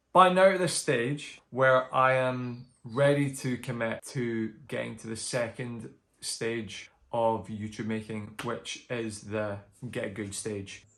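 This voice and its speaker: Speaking very slowly with a Scottish accent, a man uses a medium pitch, ordinary pitch variation and big swings in loudness. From Scotland. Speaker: book vlogger. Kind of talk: casual vlog update. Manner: chatty, filler-heavy.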